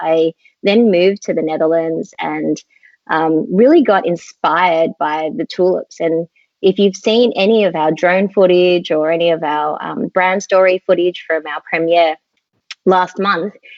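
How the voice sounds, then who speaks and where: Speaking with an Australian accent, a woman uses a fairly low pitch and ordinary pitch variation at a fairly slow pace. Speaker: skincare company co-founder. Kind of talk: interview. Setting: live online video chat.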